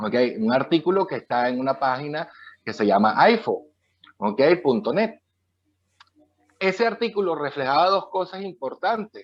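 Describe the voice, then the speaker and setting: The speaker talks at a moderate pace with very wide swings in pitch. Long pauses come often. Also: man, fairly high pitch for a man. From Latin America. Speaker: author. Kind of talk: interview.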